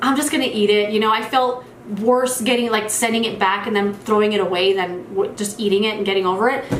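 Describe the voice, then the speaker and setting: A woman talks with a fairly high pitch and fairly even intonation. Audible room echo and noticeable background noise fill the recording. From New Mexico. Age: 30s. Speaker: beauty youtuber. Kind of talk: casual Q&A monologue.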